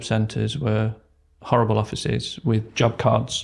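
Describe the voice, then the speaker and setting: Over a silent background in a very clean recording, a man with an East Midlands accent talks in a flat, monotone way. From England, Derbyshire. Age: 40s. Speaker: retail operations manager. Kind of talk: podcast interview.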